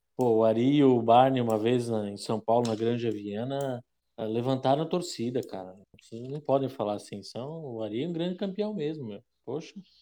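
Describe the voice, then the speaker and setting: A man with a dark, mellow tone speaks at a moderate pace and medium pitch, with ordinary pitch variation and big swings in loudness. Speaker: podcast co-host commentator. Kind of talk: casual banter.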